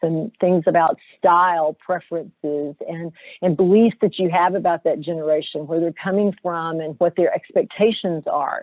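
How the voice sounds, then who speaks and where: In a Southern US accent, a woman talks at a moderate pace. Her pitch sits fairly low. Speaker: corporate HR director, webinar presenter. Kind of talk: webinar presentation. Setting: video webinar.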